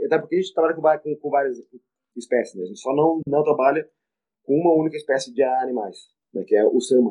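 Fairly high in pitch, a man talks at a very fast pace with ordinary pitch variation. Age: 40s. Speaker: veterinarian and professor. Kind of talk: interview. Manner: halting, many repetitions.

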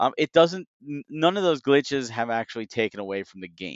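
Speaking at a fairly quick pace with lively intonation, a man uses a normal speaking voice at medium pitch, with an American accent. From United States. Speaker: video game industry analyst. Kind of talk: casual chat.

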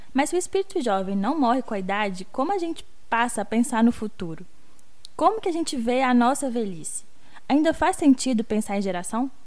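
A woman's high-pitched voice at a fairly quick pace, full of very wide pitch swings. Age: 20s. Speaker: podcast co-host, youth researcher. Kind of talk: casual chat.

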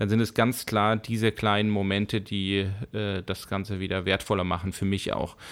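A man's fairly low voice holds a monotone, flat intonation at a moderate pace. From Bavaria, Germany (Fürstenfeldbruck), with five childhood years in Spain. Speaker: YouTuber, director and animator. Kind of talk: interview. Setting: studio.

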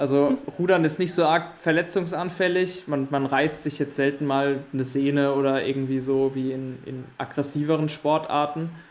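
Speaking at a moderate pace with hardly any pauses, a man has a fairly high pitch, fairly even intonation and a normal speaking voice. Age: 20s. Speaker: rower and maths student. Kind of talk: casual interview.

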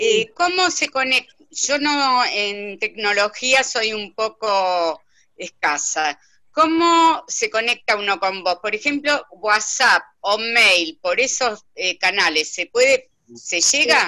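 A woman's fairly high, bright, sharp voice at a very slow pace with very wide pitch swings. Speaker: participant in online coaching talk. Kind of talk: casual chat.

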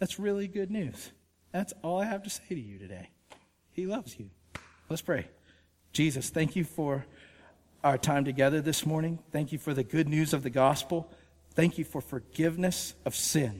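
A man speaks with a Georgia accent and lively intonation. His pace is moderate, with long, frequent pauses. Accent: Southern American (Georgia). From US South, Georgia (Woodstock). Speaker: pastor, author. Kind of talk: sermon. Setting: church with congregation. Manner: casual, conversational with fillers.

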